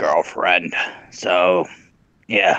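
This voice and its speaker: The voice is a raspy, put-on character voice. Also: man. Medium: game stream. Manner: brash, cocky.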